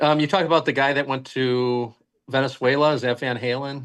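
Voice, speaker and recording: At a fairly quick pace, a man with an ordinary speaking voice talks at medium pitch with fairly even intonation. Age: 60s. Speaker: health product company founder. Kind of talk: interview podcast.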